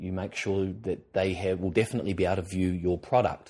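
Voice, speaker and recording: Against a quiet background, a man with an Australian accent talks at a very fast pace. His pitch sits fairly low. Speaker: TV presenter and drama school lecturer. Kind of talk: educational podcast talk. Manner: conversational with many filler words.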